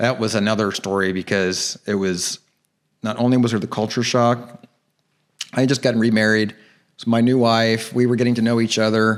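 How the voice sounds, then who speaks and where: Speaking fairly quickly with an American accent, a man uses an animated tone at a medium pitch with very even loudness. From US Midwest, Cincinnati, Ohio. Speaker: actor and director. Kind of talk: podcast interview. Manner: casual, animated storytelling.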